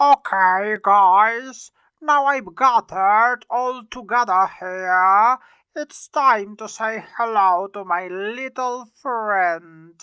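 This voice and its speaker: A woman uses a put-on character voice, fairly high in pitch, speaking at a very slow pace. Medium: fan dub.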